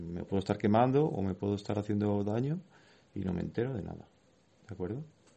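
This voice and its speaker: The man talks very fast, his fairly low voice moving with ordinary pitch variation. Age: 30s. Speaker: wheelchair athlete and school volunteer speaker. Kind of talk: talk to schoolchildren. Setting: classroom.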